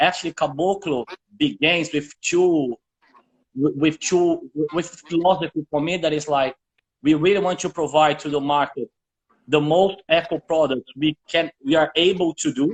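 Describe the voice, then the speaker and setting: A man speaks in a Portuguese accent at a fairly high pitch. His pace is moderate and his intonation fairly even. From northern Brazil. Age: 40s. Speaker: shoe brand co-founder. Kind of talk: interview. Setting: live video chat. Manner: halting, with repetitions.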